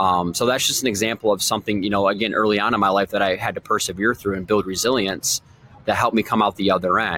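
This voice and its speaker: Speaking very fast with an American accent, a man with a fairly low pitch sounds dry and close, without echo. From Michigan. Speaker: sales coach and podcast host. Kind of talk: motivational monologue. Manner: casual and energetic.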